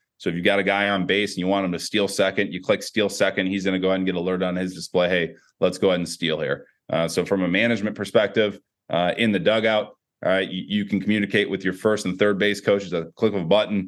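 Talking at a very fast pace, a man with an American accent keeps a fairly low pitch and monotone, flat intonation. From US Midwest, Chicago area. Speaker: sports technology executive, former football coach. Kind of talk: interview.

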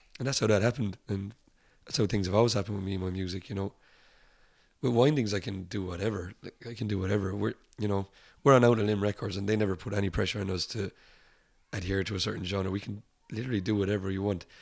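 Speaking at a very fast pace with long, frequent pauses, a man with a fairly low pitch keeps his intonation fairly even on a very clean recording with a silent background. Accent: Irish. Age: 30s. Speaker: rock musician. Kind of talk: casual chat. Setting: upstairs at a bar.

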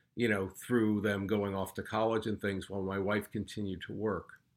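A man's normal speaking voice, fairly low-pitched, at a fairly quick pace, on a very clean recording with a silent background. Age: 60. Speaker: retired finance worker, father. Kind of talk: casual chat.

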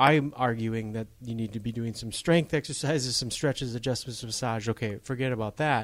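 A plain, everyday voice from a man with an American accent, medium in pitch, fairly even in intonation, at a fairly quick pace with hardly any pauses. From Upper Michigan. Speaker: podcast host, chiropractor. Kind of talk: casual interview.

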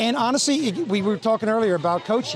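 A man talks at a very fast pace in a Texan accent. Noticeable background noise runs underneath. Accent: Texan American. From Texas. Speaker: event organizer, former football coach. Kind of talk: interview. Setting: outdoors at golf event.

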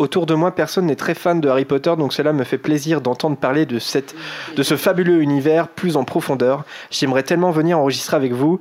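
At a fairly quick pace, a man talks with a fairly high pitch. His intonation is fairly even and his loudness very even. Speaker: podcast host. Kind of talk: casual chat. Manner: talkative.

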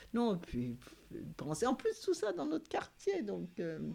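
The background is silent and the recording very clean. A woman does the talking. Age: 70s. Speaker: building caretaker. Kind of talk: casual chat. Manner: halting.

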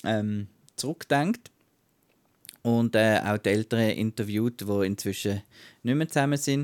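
Recorded very clean against a silent background with a dry, close sound and no echo, a man with a Swiss accent speaks at medium pitch and a fairly slow pace, keeping his loudness very even, varying his pitch in an ordinary way and leaving long, frequent pauses. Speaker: film podcast co-host. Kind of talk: casual chat.

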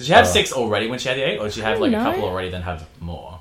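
A man's loudness swings widely as he speaks very fast, with noticeable background noise around him. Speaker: podcast guest, website reviewer. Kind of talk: crude, sarcastic banter.

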